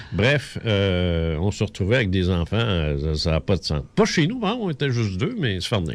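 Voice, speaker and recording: With a Quebec accent, a man speaks at a fairly low pitch, his intonation lively and his delivery broken by hardly any pauses. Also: moderate pace. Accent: Québécois French. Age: 60s. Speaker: radio host. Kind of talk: casual chat. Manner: halting.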